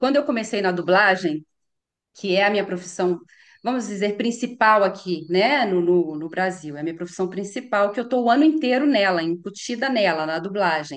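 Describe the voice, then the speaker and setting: Her intonation lively, a woman of medium pitch speaks at a moderate pace. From Brazil, Minas Gerais (Belo Horizonte). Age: 50s. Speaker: voice actress. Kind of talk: interview. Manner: repetitive, explanatory with fillers.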